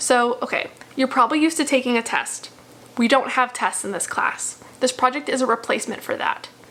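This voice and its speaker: Noticeable background noise surrounds a woman who talks at a fairly quick pace and high pitch with fairly even intonation. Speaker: math instructor. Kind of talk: casual course overview video. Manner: fast; chatty, informal.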